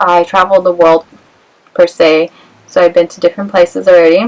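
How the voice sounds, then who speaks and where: With an American accent, a woman speaks with fairly even intonation. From Los Angeles, US West Coast. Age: 20s. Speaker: vlogger. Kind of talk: casual vlog Q&A. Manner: hesitant, many fillers.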